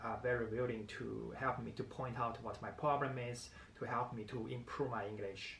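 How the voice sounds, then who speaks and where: In a room with audible echo and noticeable background noise, a man talks at a moderate pace with a medium pitch and monotone, flat intonation. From China. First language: Chinese. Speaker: vlogger. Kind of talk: casual vlog talk to camera. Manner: halting, many fillers.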